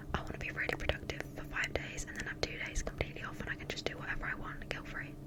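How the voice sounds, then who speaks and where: A woman whispering at a very fast pace with hardly any pauses, over noticeable background noise. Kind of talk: ASMR whisper ramble. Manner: whispered.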